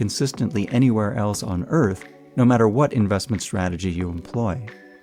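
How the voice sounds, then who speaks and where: Music plays in the background. The speaker's pace is fairly quick and the intonation lively. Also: man. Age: 60s. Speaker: accountant and educator. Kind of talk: educational talk.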